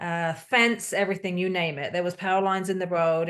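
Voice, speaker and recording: A woman with a British accent talks at a fairly quick pace over a quiet background. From UK. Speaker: hurricane survivor. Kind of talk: testimony.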